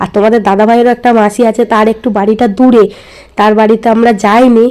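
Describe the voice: A woman talks at a fairly quick pace, her fairly high voice slightly mellow and her intonation fairly even.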